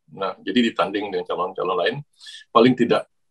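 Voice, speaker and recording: A man speaks in a dry, close sound with no echo. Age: 60s. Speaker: academic and YouTuber talking about Japan. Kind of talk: casual monologue. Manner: halting, many fillers.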